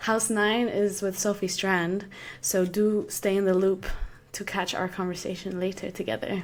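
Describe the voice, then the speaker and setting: A woman speaks in an Arabic accent at a medium pitch. Her pace is moderate. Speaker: podcast host. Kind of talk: podcast introduction.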